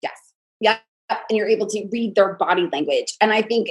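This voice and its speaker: Her pace runs fairly quick. This woman talks with an American accent. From New York area. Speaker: podcast host. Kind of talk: podcast interview.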